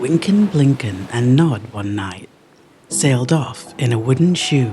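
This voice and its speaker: Amid noticeable background noise, a man at a medium pitch talks at a fairly slow pace with very wide pitch swings. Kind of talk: bedtime poetry reading. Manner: calm.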